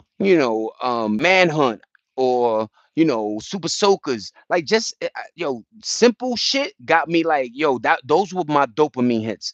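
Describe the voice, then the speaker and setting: With a New York accent, a man talks in an animated tone at a fairly slow pace, his fairly high voice making very wide pitch swings, recorded dry and close with no echo. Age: 40s. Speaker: live streamer. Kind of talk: casual livestream chat.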